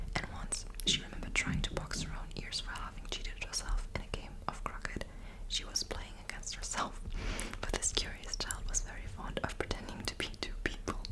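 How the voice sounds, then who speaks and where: Whispering at a moderate pace in a soothing tone, the voice comes through over noticeable background noise. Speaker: ASMR creator. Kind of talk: bedtime story reading. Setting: close microphone. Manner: soft-spoken, soothing.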